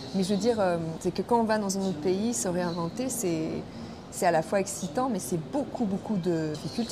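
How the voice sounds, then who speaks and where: A woman's medium-pitched voice at a fairly quick pace, with ordinary pitch variation and noticeable background noise. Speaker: actress. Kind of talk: film interview. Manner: halting, with fillers.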